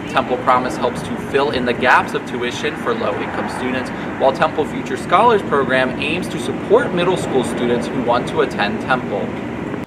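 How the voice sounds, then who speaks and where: Over noticeable background noise, a man speaks at medium pitch and a moderate pace with ordinary pitch variation and hardly any pauses. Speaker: student broadcast reporter and anchor. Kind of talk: TV news reporter stand-up and live shot delivery.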